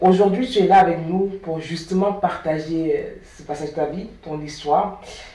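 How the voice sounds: Strong room echo surrounds a woman's dark, mellow tone. Her intonation stays fairly even. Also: fairly low pitch for a woman, moderate pace.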